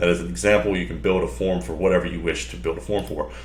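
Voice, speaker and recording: A man at a very fast pace, with audible room echo. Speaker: software demo presenter. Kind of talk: tutorial. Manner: casual, filler-heavy.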